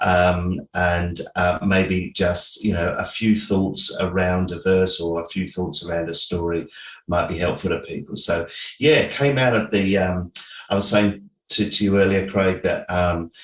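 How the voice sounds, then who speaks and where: This man speaks with an English accent in a very deep, low pitch. His pace is fairly slow and his intonation fairly even. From England. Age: 60s. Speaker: pastor and author. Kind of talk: interview. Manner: hesitant, many fillers.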